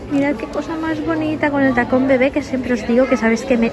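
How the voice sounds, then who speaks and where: A woman talks at a fairly quick pace with noticeable background noise behind her. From Spain. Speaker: fashion vlogger. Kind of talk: shopping haul vlog. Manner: animated. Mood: enthusiastic, upbeat. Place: shop. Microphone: phone near.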